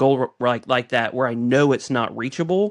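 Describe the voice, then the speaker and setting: A man with an American accent, an ordinary speaking voice, and a medium pitch, at a fairly quick pace over a quiet background. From United States. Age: 40s. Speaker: podcast co-host. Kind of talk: casual chat.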